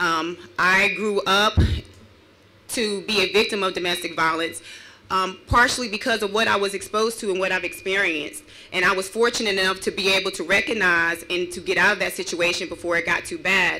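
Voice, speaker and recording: A woman talks at a fairly quick pace with fairly even intonation. Light background noise is present. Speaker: victim advocate. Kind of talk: rally speech; public speech. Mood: earnest, personal testimony. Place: open country. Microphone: podium.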